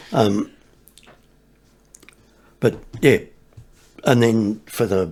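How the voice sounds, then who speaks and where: A man with an Australian accent speaks in a fairly low voice. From Victoria, Australia. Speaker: sambar deer hunting guide. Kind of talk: interview answer.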